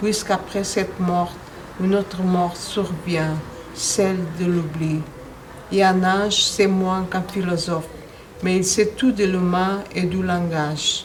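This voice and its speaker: A woman's medium-pitched, monotone voice at a very slow pace with long, frequent pauses, along with audible room echo and noticeable background noise. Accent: Portuguese. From Angola, then Portugal. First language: Portuguese (speaking French). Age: 60s. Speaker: poet. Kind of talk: poetry reading. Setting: poetry festival interview.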